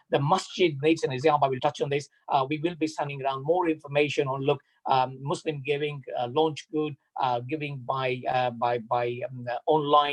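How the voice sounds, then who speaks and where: At a moderate pace, a man with a fairly high pitch speaks in a somewhat breathy voice with fairly even intonation. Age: 60s. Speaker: mosque trustee. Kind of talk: community announcement. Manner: halting.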